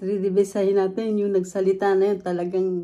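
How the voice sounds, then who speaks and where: A woman's dark, mellow tone at medium pitch, with monotone, flat intonation and a moderate pace. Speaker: food vlogger. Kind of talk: mukbang vlog chat. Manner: loud; talkative.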